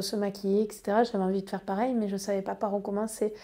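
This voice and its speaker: Her tone is dark and mellow, at a medium pitch, with monotone, flat intonation. The woman is recorded very cleanly against a silent background. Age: 30s. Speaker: eczema patient sharing experience. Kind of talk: personal testimony. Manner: hesitant, many fillers.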